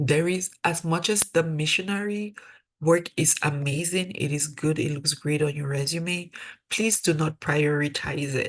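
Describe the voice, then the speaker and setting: A woman with a Cameroonian accent and a very deep, low pitch speaks at a moderate pace with fairly even intonation. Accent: African (Cameroonian). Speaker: dental student, mentor. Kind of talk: webinar presentation. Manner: conversational.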